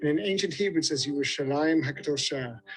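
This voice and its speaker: Against noticeable background noise, a man speaks at a fairly quick pace in a fairly high pitch. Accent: British. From Britain. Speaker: tour guide. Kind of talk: guided tour presentation. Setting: outdoors. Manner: animated.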